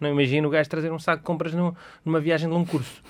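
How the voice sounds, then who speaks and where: The speech comes at a very fast pace. The intonation stays fairly even. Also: man. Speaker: podcast co-host. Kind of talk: casual chat.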